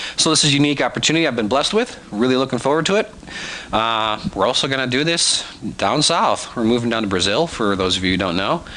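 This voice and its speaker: Noticeable background noise runs under a man's voice. His pitch is medium but swings very widely. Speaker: animation tutor. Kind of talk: tutorial. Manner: casual, conversational with fillers.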